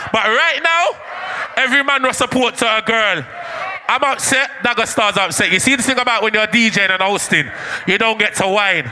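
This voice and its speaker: Raised and projected, a man's animated voice comes with a Jamaican accent, a high pitch and ordinary pitch variation. He speaks at a fairly quick pace over noticeable background noise. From Jamaica (Manchester parish). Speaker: dancehall MC. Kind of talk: live MC hype over music. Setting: live event with crowd, PA system. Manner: loud.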